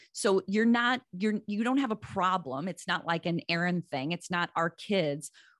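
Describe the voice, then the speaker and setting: A woman with a medium pitch talks in a plain, everyday voice, her intonation lively and her pace moderate. The background is quiet, and the sound is dry and close with no echo. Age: 50s. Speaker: parenting author and social worker. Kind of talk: interview.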